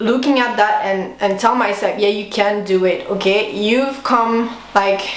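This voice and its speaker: Over noticeable background noise and audible room echo, a woman speaks with a French accent at a fairly high pitch. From Switzerland. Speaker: veterinary student. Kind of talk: vlog monologue. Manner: casual, many fillers.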